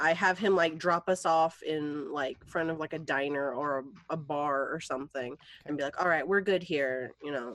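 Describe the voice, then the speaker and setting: A woman speaks with a very deep, low pitch. Her pace is moderate and her pitch variation ordinary. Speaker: tabletop game player. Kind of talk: casual tabletop game banter.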